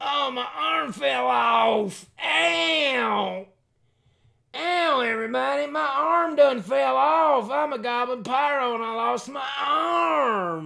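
In a put-on character voice, a man speaks at a very slow pace with extremely high pitch. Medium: game stream. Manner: whiny, complaining.

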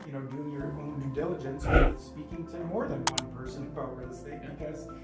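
A man talks over loud music in the background. The room has an audible echo. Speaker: podcast guest. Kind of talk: interview answer. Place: studio.

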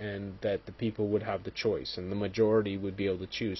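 A man's somewhat breathy voice. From Montreal, Quebec. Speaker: political commentary video maker. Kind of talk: solo commentary monologue. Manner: halting, many fillers.

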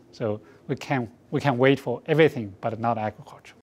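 A man with a Chinese accent speaks at a medium pitch. His pace is moderate, with ordinary pitch variation. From China. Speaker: research institute director. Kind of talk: campaign support statement. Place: studio.

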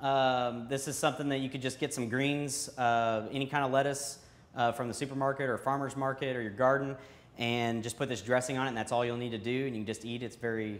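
Male speaker, fairly quick pace. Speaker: company employee cooking host. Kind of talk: tutorial. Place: kitchen. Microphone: lapel.

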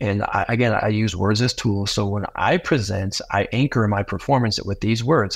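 At a moderate pace, a man with a fairly low, somewhat breathy voice speaks with ordinary pitch variation against a quiet background. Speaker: public speaker and mindset coach; public speaker, mindset coach. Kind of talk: podcast interview. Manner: animated, repetitive. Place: home room. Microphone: earbuds.

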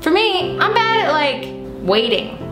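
Clear music plays behind a woman as she talks. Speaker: comedy cooking vlogger. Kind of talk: casual vlog chat. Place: kitchen. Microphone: phone near.

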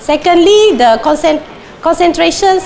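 A woman with very wide pitch swings over noticeable background noise. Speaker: plant disease researcher. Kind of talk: conference talk. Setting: stage with audience. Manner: halting, many fillers.

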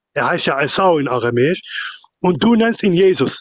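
A man speaks at a moderate pace with a high pitch and very wide pitch swings. The sound is dry and close, with no echo. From outside Germany. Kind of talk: heated debate.

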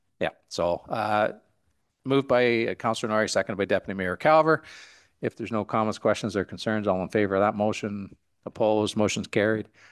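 In a Canadian accent, a man with a fairly low pitch talks at a fairly quick pace, his pitch varying in an ordinary way over a quiet background. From Canada (Ontario). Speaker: mayor chairing council meeting. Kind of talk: council meeting chairing. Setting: council chamber with microphones. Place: hall. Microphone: podium.

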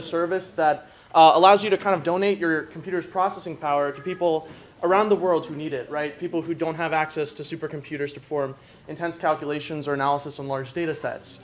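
Over light background noise, a man with a fairly high pitch talks at a very fast pace, with ordinary pitch variation and big swings in loudness. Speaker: student hackathon participant; presenter. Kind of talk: demo presentation. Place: hall. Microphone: camera far.

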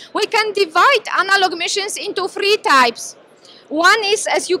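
The voice is raised and projected at a moderate pace. The sound is dry, with no echo. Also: woman. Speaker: presenter. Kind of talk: lecture. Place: hall. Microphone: handheld.

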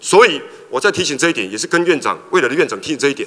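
A man speaks at a very fast pace. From Taiwan. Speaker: legislator. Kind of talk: parliamentary questioning. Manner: halting, many fillers. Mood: critical, challenging. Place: hall. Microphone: podium.

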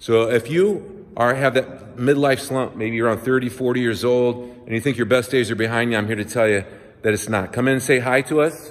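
Animated in tone, a man speaks at a moderate pace with ordinary pitch variation. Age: 50s. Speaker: personal trainer. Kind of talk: promotional video tour. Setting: walking through a gym. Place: gym. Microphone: phone near.

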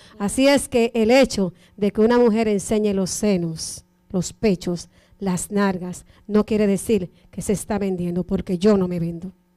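Over a quiet background, a woman with a dark, mellow tone speaks fairly slowly, her pitch varying in an ordinary way. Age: 40s. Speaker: radio co-host and event emcee; radio co-host, event emcee. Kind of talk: interview. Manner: animated. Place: studio. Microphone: handheld.

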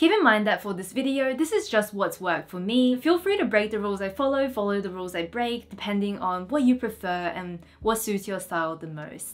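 A woman talks at a fairly quick pace with lively intonation and big swings in loudness. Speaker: style creator. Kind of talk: casual vlog chat. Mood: warm, upbeat. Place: home room.

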